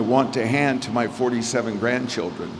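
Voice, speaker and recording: Noticeable background noise and audible room echo surround a man speaking at medium pitch. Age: 60s. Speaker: real estate developer. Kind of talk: speech at a gala.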